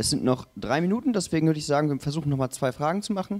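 Lively intonation marks this man's voice. He talks at a very fast pace. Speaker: session moderator. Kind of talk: moderating Q&A. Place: hall. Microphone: handheld.

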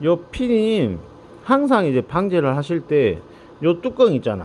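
Speaking in a Jeolla accent, a man with a fairly high pitch makes very wide pitch swings. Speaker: drone maintenance technician. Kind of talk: casual instructional talk to camera.

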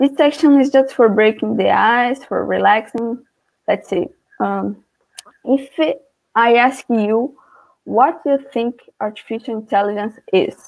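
A woman speaks fairly slowly in a Portuguese accent. Her pitch is fairly high, and the background is quiet. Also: ordinary pitch variation. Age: 20s. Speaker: student; guest teacher presenting a class. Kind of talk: lecture. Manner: halting. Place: home room. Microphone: webcam.

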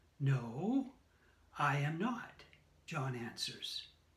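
A man speaks with audible room echo around him. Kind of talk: scripture reading. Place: home room. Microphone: phone near.

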